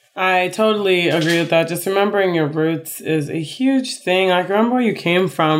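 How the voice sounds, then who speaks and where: A woman with an American accent speaks in an ordinary speaking voice at a fairly low pitch with ordinary pitch variation, on a very clean recording with a silent background. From Chicago, US Midwest. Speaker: podcast co-host. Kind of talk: casual chat.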